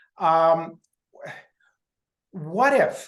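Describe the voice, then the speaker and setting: A woman speaks with a very deep, low pitch. Room echo is audible. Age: 60s. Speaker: audience member asking a question. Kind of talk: question at virtual meeting. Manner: halting.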